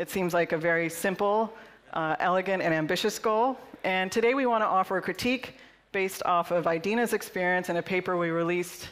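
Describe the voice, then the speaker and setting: A woman is speaking at a fairly quick pace. Her pitch varies in an ordinary way. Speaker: conference keynote speaker. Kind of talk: conference talk. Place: hall. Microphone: headset.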